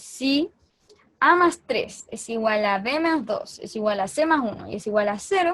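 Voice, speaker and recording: At a fairly slow pace, a woman talks with lively intonation. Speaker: math tutor. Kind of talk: lecture.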